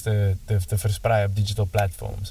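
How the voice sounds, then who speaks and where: A man is speaking. Music plays in the background. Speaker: podcast interviewer. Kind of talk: casual interview.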